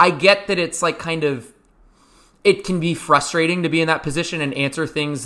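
Loud and at a fairly quick pace, a man talks in a bright, sharp tone with ordinary pitch variation. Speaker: basketball podcast host. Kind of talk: casual chat.

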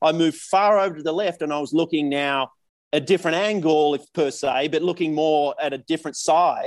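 A man with an Australian accent and a fairly high pitch, fairly quick in pace with fairly even intonation. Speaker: professional golfer. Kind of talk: casual chat.

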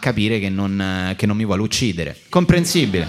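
A man is speaking. His pace is very fast. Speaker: comedian and podcast host. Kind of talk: live comedic podcast banter. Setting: stage with live audience.

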